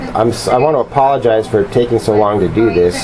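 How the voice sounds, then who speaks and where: A man at a moderate pace, his intonation lively, over noticeable background noise. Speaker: tarot reader. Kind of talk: tarot reading to camera. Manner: hesitant, many fillers.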